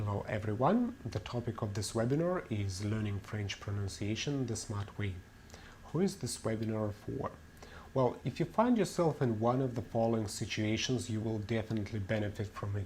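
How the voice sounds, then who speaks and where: A man with a Russian accent, medium pitch and ordinary pitch variation, at a moderate pace, with audible room echo. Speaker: language teacher. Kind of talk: webinar lecture.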